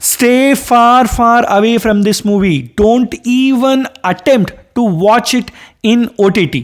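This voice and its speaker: The voice carries a Kannada accent. It moves at a very slow pace. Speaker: movie reviewer. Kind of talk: video review monologue. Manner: animated.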